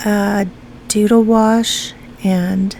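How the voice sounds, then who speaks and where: A woman talks at a fairly high pitch. Her intonation is monotone and flat. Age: 60s. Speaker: art YouTuber. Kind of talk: casual chat while painting. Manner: hesitant, many fillers.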